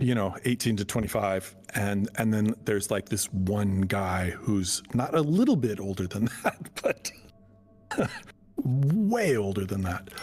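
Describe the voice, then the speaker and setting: At a fairly slow pace, a man talks with fairly low pitch and ordinary pitch variation. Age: 60s. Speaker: streamer. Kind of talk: casual chat. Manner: halting.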